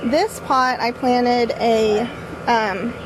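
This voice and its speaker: The voice is loud. Noticeable background noise runs underneath it. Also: woman. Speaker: YouTuber vlogger. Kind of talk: casual vlog tour. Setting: outdoors in backyard garden.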